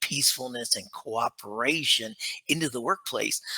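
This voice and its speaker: A man with an American accent speaks at a moderate pace in a normal speaking voice. His intonation is lively, and the sound is dry and close with no echo. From United States. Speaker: leadership author and consultant. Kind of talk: interview. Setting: remote call.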